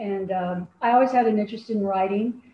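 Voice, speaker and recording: A woman with a General American accent and a normal speaking voice talks at medium pitch and a moderate pace, her intonation fairly even. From Colorado, Denver. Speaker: true crime writer. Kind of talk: interview.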